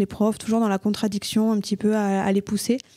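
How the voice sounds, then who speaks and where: In a Toulouse accent, a woman speaks at a fairly high pitch with a dark, mellow tone. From southern France, Toulouse. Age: 20s. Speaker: accountant and entrepreneur. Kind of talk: podcast interview. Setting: coworking space.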